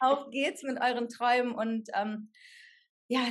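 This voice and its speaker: Her high-pitched voice keeps a fairly even intonation as this woman talks. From Germany, Sauerland. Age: 30s. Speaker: actress, hospital clown and coach. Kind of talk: casual interview.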